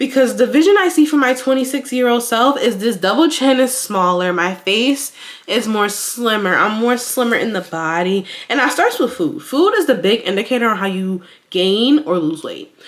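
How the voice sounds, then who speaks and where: A woman speaks in a high pitch with an animated tone and very wide pitch swings. Noticeable background noise sits behind her. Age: 20s. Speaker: lifestyle vlogger. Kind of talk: casual vlog monologue. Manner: fast.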